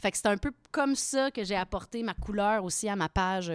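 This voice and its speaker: The sound is dry and close with no echo as a woman talks at a moderate pace. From Quebec, Victoriaville. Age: 30s. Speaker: actress and craft beer blogger. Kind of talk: casual chat.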